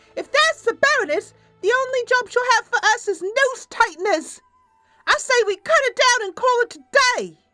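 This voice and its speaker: Squeaky and whiny, this put-on character voice moves at a moderate pace with a dry, close sound, no echo, and faint music in the background. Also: woman. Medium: solo performance. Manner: whiny, jumpy.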